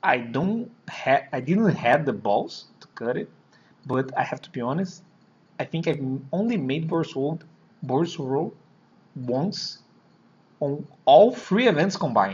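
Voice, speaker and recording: A man with a Brazilian Portuguese accent talks at a fairly high pitch and a fairly slow pace, with long, frequent pauses. His loudness swings widely and his pitch rises and falls very widely. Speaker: card game player. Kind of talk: deck profile explanation. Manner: halting, hesitant.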